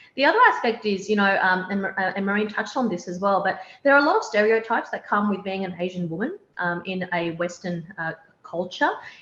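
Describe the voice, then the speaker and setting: Fairly quick in pace, a woman speaks with a strong Australian accent. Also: medium pitch for a woman, ordinary pitch variation. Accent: broad Australian. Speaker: opposition party leader. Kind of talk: panel discussion.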